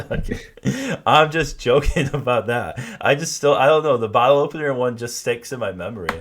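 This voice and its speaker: A man with a Michigan accent speaks at a fairly quick pace. His pitch is fairly high, with ordinary variation. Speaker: podcast host. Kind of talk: casual chat. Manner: halting, many fillers and repeats.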